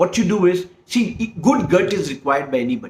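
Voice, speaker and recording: A man with an Indian accent speaks at a moderate pace. His pitch is high, with very wide swings. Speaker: herbal medicine practitioner. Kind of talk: explanatory monologue. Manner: halting, many fillers and restarts.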